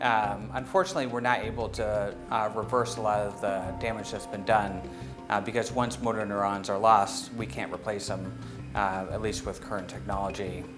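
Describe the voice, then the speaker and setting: A man talks at a moderate pace in a fairly low voice. His pitch varies in an ordinary way, with music in the background. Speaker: neurology professor. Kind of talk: interview answer. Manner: hesitant, many fillers.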